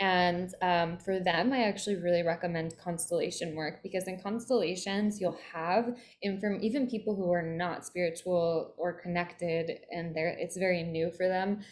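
A woman's normal speaking voice, fairly low in pitch, at a moderate pace with hardly any pauses and fairly even intonation. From Philadelphia, US East Coast. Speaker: spiritual mentor. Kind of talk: interview.

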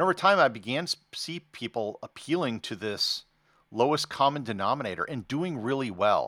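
A man with a bright, sharp tone and vocal fry swings his pitch very widely in a dry, close sound with no echo on a very clean recording with a silent background. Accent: American. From United States. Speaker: travel blogger turned podcaster. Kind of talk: interview conversation.

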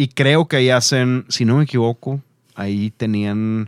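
Dry and close with no echo, this very clean recording with a silent background has a man speaking fairly slowly in an ordinary speaking voice, his pitch varying normally. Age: 30s. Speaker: podcast host. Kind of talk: casual chat. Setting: studio.

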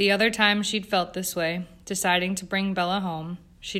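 Fairly even intonation runs through this plain reading aloud.

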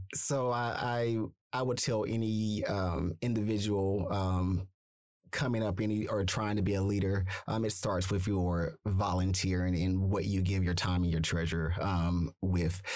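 A man's very deep, low voice at a fairly slow pace, with fairly even intonation and very even loudness over a quiet background. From Arkansas. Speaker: nonprofit executive, activist. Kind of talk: interview conversation. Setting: studio. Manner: halting, many fillers.

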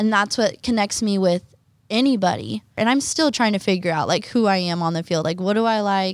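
An unremarkable speaking voice moves at a fairly quick pace, keeping its loudness very even and its pitch variation ordinary. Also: woman, medium pitch for a woman. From Oklahoma. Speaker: college student athlete. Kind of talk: interview.

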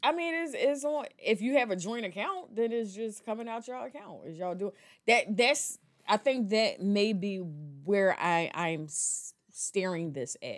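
A woman speaks fairly slowly in a fairly high voice that swings very widely in pitch. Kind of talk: casual banter, comedic chat.

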